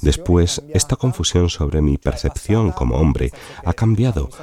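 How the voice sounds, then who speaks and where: Against noticeable background noise, a man with a very deep, low voice speaks at a moderate pace with lively intonation. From Sicily, Italy. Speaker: novelist. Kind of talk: personal testimony interview.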